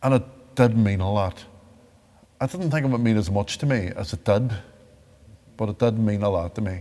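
In a Northern Irish accent, a man with a fairly low pitch, a dark, mellow tone and ordinary pitch variation talks at a fairly quick pace, broken by long, frequent pauses. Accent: Derry Northern Irish. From Northern Ireland, Derry. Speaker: victim of the Troubles turned peace advocate. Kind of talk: interview testimony.

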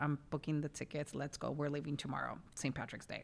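A woman with an American accent speaks in a very deep, low pitch with an animated tone. The recording is very clean, with a silent background. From New York City (West Village). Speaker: podcast co-host. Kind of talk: casual chat. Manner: animated, laughs often.

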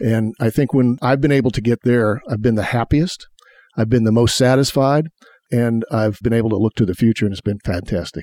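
A man talks at a fairly quick pace in a medium-pitched, dark, mellow voice. The sound is dry and close with no echo, and his pitch varies in an ordinary way. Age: 70s. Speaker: sports executive. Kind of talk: interview.

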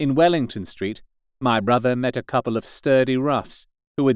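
A man with a plain, everyday voice speaks at medium pitch and a moderate pace, his pitch varying in an ordinary way. The sound is dry and close with no echo, on a very clean recording with a silent background. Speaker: audiobook narrator. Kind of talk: scripted audiobook narration, dramatic.

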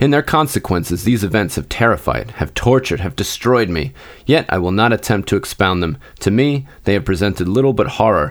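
Using a fairly low pitch with very wide pitch swings, a man talks at a fairly quick pace. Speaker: podcast host and reader. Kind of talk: literary audiobook reading of Poe horror, dramatic first-person gothic narration.

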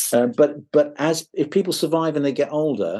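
An English-accented man with a dark, mellow tone. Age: 60s. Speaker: guitarist. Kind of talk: interview. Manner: halting.

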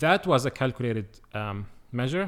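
A man talks with an Arabic accent. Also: very clean recording, silent background. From Palestine (Bethlehem). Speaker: PhD student in Quranic studies. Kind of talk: interview conversation.

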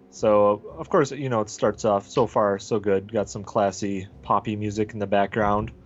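A man with an Upper Midwestern accent speaks in a fairly low voice with ordinary pitch variation. His pace is moderate, with hardly any pauses. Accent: Upper Midwestern American. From US Upper Midwest. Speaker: podcast co-host. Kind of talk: casual comedic chat, movie review.

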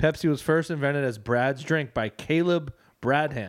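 A man's fairly high-pitched voice, an ordinary speaking voice with ordinary pitch variation at a moderate pace. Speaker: comedy podcast co-host. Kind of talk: casual chat. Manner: rambling, full of fillers.

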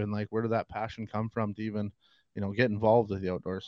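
Over a quiet background, a man talks at a very fast pace at medium pitch. The sound is dry and close with no echo. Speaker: podcast co-host. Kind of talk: casual interview.

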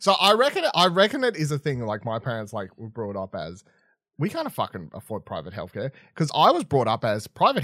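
On a very clean, dry, close recording with no echo and a silent background, a man talks at a fairly quick pace. His fairly high voice carries vocal fry and swings very widely in pitch. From Tasmania, Australia. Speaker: podcast host. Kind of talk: casual chat.

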